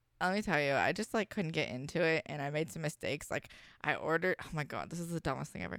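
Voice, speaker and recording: A woman with an American accent speaks very fast at a very deep, low pitch, with vocal fry and ordinary pitch variation. The sound is dry and close with no echo. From Washington state. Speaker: adult performer. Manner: sweet, outgoing, cheerful.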